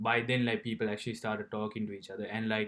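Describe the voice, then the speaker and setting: This man speaks with a Sri Lankan accent. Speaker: university student. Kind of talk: personal vlog. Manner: halting, many fillers and repetitions.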